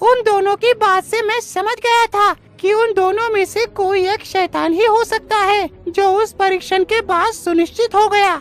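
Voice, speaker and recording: An extremely high-pitched, cartoonish character voice. It moves at a moderate pace. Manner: measured, authoritative.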